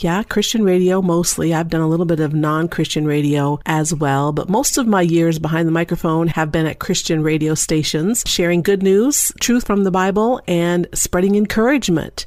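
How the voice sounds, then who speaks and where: A woman's unremarkable speaking voice, fairly low in pitch, at a moderate pace with hardly any pauses, ordinary pitch variation and very even loudness. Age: middle-aged. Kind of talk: podcast talk. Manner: upbeat, humorous.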